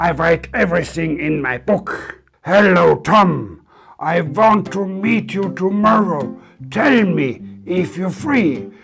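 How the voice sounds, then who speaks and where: Over music in the background, the speech moves at a very slow pace with lively intonation. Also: man, high pitch for a man. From Austria. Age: 60s. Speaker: English learner. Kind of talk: comedic English lesson dialogue.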